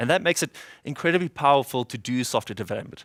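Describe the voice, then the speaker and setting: A man with a South African accent speaks at medium pitch with ordinary pitch variation. The sound is dry and close with no echo, and the recording is very clean with a silent background. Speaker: software developer, conference speaker. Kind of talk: conference talk. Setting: stage with audience. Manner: fast when excited.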